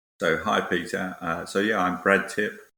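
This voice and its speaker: A British man with a bright, sharp tone speaks in a monotone, flat way at a moderate pace on a very clean recording with a silent background. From Britain. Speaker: tech industry academic research lead. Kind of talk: interview.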